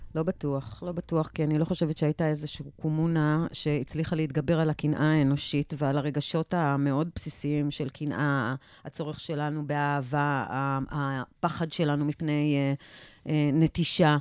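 In a very clean recording with a silent background and a dry, close sound with no echo, a woman speaks at a very deep, low pitch in a monotone, flat manner. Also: moderate pace. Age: 50s. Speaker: PR consultant. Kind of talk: panel discussion. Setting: radio studio.

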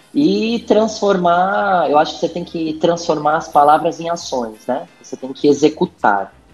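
Backed by music, a man speaks at a fairly slow pace in a fairly high pitch, his intonation lively and his loudness swinging widely. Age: 40s. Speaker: HR director. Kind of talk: casual interview.

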